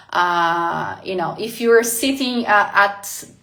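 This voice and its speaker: With audible room echo, a woman talks in a Portuguese accent. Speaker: life coach. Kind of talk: live motivational talk. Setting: livestream. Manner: hesitant, many fillers.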